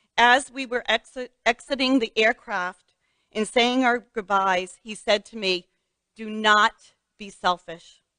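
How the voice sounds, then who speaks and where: A woman with a fairly high pitch and a bright, sharp tone speaks at a very slow pace, with long, frequent pauses and fairly even intonation. Her loudness swings widely, and the sound is dry and close with no echo. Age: 60s. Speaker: metastatic breast cancer patient sharing her story. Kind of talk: personal testimony speech.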